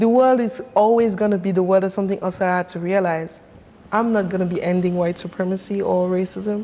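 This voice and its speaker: Over noticeable background noise, a woman with a French accent talks fairly quickly at a medium pitch with fairly even intonation. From Cameroon, Yaoundé. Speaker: sound artist. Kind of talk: interview conversation.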